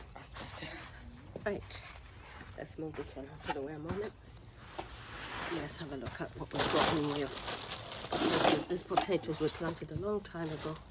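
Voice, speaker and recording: The voice is quiet, with ordinary pitch variation, against noticeable background noise. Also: woman. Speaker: home gardener vlogger. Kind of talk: casual gardening vlog narration.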